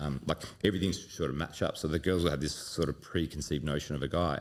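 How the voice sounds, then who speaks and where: A man with an Australian accent speaks very fast at a very deep, low pitch, with vocal fry. His pitch varies in an ordinary way on a very clean recording with a silent background. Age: 40s. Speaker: dating coach. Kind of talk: casual podcast interview. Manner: animated, with frequent fillers and repetitions.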